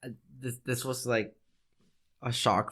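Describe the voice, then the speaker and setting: The background is silent and the recording very clean. A man talks in a Spanish accent. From Mexico. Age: 30s. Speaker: podcast co-host, military veteran. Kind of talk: casual chat. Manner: halting.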